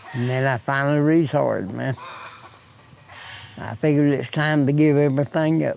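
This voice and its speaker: With an Appalachian accent, a man speaks at a fairly slow pace and a fairly high pitch. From US Appalachia, Wyoming County, West Virginia. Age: 70s. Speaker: retired laborer. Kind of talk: interview.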